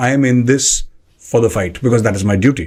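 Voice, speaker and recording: The voice is somewhat breathy. A man talks at a fairly fast rate. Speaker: podcast host. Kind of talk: interview. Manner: formal.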